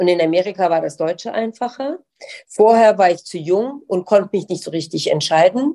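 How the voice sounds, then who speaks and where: A woman's medium-pitched voice, dark and mellow in tone, moves with lively intonation at a moderate pace. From Germany. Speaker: lawyer and diversity expert. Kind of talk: interview.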